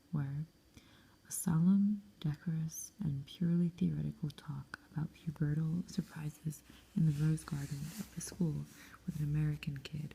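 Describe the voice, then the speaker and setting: Soft-spoken and calm, a woman speaks with a very deep, low pitch, a dark, mellow tone, some breathiness and fairly even intonation. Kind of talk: soft-spoken audiobook-style reading of a novel, ASMR. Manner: soft-spoken, calm.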